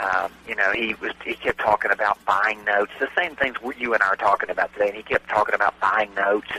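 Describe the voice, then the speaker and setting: Over noticeable background noise, a man with a Southern US accent speaks at a fairly quick pace in a dry, close sound with no echo. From US South. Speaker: real estate note investor and trainer. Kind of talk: radio interview. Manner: hesitant, many fillers.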